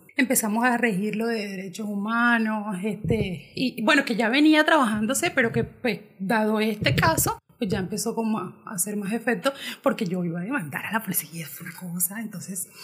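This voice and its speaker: At a moderate pace, a woman with an ordinary speaking voice talks at a fairly high pitch with lively intonation. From Colombia, Caribbean coast (Montería, Córdoba). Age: 20s. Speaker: LGBTI activist. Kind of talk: podcast interview.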